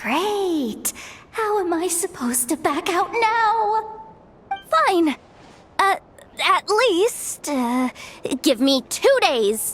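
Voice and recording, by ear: Speaking very slowly, a woman puts on a cartoonish character voice with a fairly bright tone. It is pitched extremely high, with big pitch swings.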